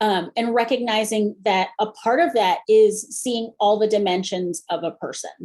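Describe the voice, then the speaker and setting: A woman with an ordinary speaking voice talks at a fairly slow pace, hardly pausing, with ordinary pitch variation. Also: fairly high pitch for a woman. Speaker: improv comedian and corporate facilitator presenting a webinar. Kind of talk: webinar presentation.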